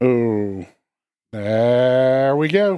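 Speaking with an American accent, a man uses medium pitch and lively intonation. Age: 30s. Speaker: true crime podcast co-host. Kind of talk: casual chat.

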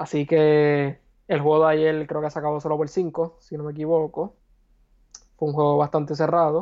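At a moderate pace, a man with a fairly high voice speaks in a flat monotone. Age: 20s. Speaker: sports broadcasting student, podcast guest. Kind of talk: casual sports talk.

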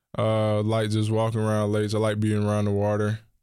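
A man with an American accent speaks at a fairly low pitch in a very clean recording with a silent background. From North Carolina, Charlotte. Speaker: college football quarterback. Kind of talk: interview.

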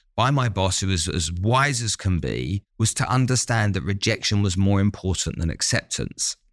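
A man with an ordinary speaking voice, fairly low in pitch, talks with lively intonation on a very clean recording with a silent background, the sound dry and close with no echo. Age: 50s. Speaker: business strategist and entrepreneur. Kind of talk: interview.

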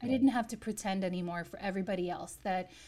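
A woman with a dark, mellow tone and a somewhat breathy quality speaks at a fairly quick pace and medium pitch, her intonation fairly even. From US, New York. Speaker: chef and former investment banker. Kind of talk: interview. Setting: remote call.

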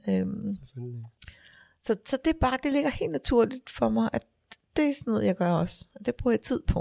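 A woman speaking at a moderate pace with long, frequent pauses, the sound dry and close with no echo. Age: 50s. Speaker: funeral director. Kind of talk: casual interview. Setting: funeral home office. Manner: hesitant, many fillers.

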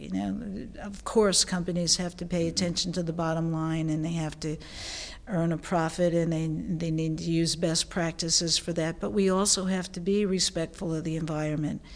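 A woman speaks in a plain, everyday voice, pitched fairly low. Her pace is moderate and her intonation fairly even. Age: 60s. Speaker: supply chain consultant and business owner. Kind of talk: interview.

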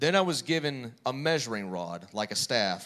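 A normal speaking voice with lively intonation. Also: man. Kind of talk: reading aloud scripture. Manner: measured, steady.

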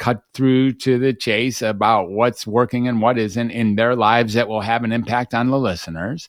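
Here is an ordinary speaking voice, a man's at a medium pitch with ordinary pitch variation. The pace is moderate and the sound dry and close, with no echo. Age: 60s. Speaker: psychiatrist and podcaster. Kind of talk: interview conversation. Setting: remote from home podcast studio. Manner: talkative, fluent.

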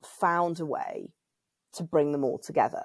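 A woman at a fairly slow pace, in a very clean recording with a silent background. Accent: British. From UK. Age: 40s. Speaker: women's circle convener and writer. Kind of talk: casual chat.

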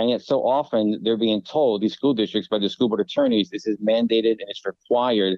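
A man talks at a fairly quick pace in a normal speaking voice, his pitch medium. His intonation stays fairly even. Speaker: conservative family policy advocate. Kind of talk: radio interview.

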